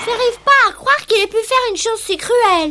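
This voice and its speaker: A woman puts on a squeaky character voice at an extremely high pitch, rattling along at a very fast pace. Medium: cartoon. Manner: earnest, gentle.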